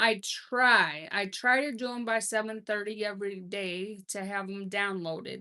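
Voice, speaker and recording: Her tone is bright and sharp as a woman speaks at a fairly slow pace. She hardly pauses, and the background is quiet. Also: medium pitch for a woman. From Minnesota, US Midwest. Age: 50s. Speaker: livestream host, grandmother. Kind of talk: casual live chat reading comments. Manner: hesitant, many fillers.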